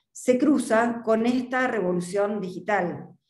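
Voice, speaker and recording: A woman talks with ordinary pitch variation. The background is quiet, but room echo is audible. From Argentina. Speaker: market research consultant. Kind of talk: presentation. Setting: video call. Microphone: video call.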